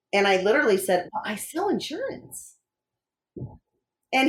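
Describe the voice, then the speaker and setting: Her pitch medium and swinging very widely, a woman with an American accent talks at a moderate pace. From Wisconsin. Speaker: coach. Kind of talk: interview.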